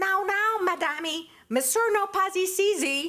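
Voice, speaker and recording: A woman puts on a character voice in a Portuguese accent, pitched extremely high. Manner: sweet, feigned politeness.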